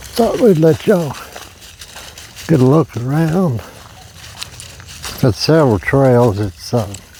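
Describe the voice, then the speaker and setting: Amid noticeable background noise, a man in a relaxed tone speaks at a fairly high pitch with very wide pitch swings and long, frequent pauses. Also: fairly slow pace. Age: 60s. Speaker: camping vlogger. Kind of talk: casual vlog talk. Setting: outdoors. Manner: relaxed, hesitant with fillers.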